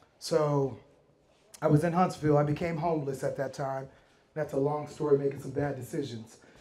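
This man's voice is somewhat breathy. He talks at a fairly quick pace. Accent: American. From Miami, Florida. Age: 40s. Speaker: real estate investor. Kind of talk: talk at a meetup. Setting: stage with audience. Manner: animated.

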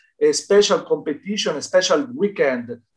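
With an Italian accent, a man speaks in lively intonation against a quiet background. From Italy. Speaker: dance federation representative. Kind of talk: interview testimony. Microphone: video call.

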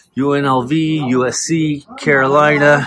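Against noticeable background noise, a man speaks with a dry sound and no echo. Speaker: hat collector vlogger. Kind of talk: casual vlog chat. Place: shop. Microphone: phone near.

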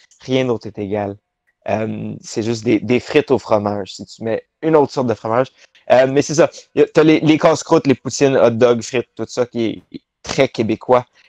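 A man with an ordinary speaking voice talks at a moderate pace in a medium pitch, using ordinary pitch variation and big swings in loudness. The sound is dry with no echo, over a quiet background. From Quebec, Laval near Montreal; Quebec. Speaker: professional wrestler; interview guest. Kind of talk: interview. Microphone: video call.

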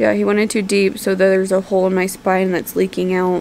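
Amid light background noise, a woman speaks fairly quickly in a weary tone, with very even loudness and fairly even intonation. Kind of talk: casual vlog chat. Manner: weary, worried voice lying in bed. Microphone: phone near.

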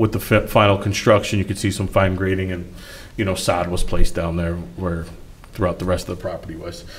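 The voice is somewhat breathy and moves at a fairly quick pace. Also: man. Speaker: site planning consultant. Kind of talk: presentation at public meeting. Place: meeting room. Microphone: podium.

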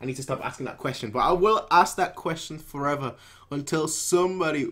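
A man at a fairly quick pace over a quiet background. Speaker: anime reaction creator. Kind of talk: casual reaction chat. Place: home room. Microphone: headset.

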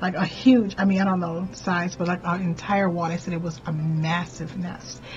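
Faint music sits in the background. A woman with a fairly low pitch speaks at a moderate pace. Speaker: spiritual content creator. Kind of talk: casual vlog storytelling. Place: home room. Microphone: webcam.

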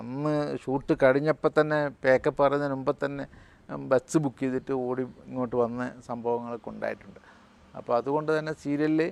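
In a dry, close recording with no echo, a man with a fairly high pitch speaks in a flat monotone. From Kerala, Malabar. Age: 70s. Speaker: film and TV actor. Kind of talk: interview.

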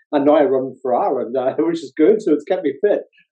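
Against a quiet background, a man with a Northern Irish accent talks at a fairly quick pace. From Northern Ireland. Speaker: psychology professor and author. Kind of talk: interview. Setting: video call. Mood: warm, smiling, reflective. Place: home room. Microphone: video call.

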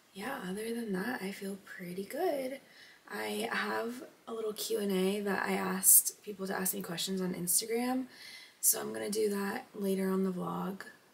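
Medium-pitched female speech at a moderate pace, ordinary pitch variation, noticeable noise in the background. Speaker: vlogger. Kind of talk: vlog monologue.

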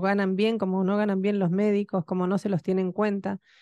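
Monotone and flat, a woman's medium-pitched voice has a dark, mellow tone and a dry sound with no echo. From Argentina. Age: 50s. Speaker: radio host. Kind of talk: radio talk show. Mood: indignant, critical of government. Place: studio. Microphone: studio mic.

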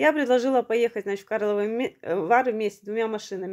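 A woman speaks at a fairly quick pace with a fairly high pitch and ordinary pitch variation. The background is quiet. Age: 40s. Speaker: video blogger. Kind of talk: personal testimony. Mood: earnest, aggrieved storytelling. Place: home room. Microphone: phone near.

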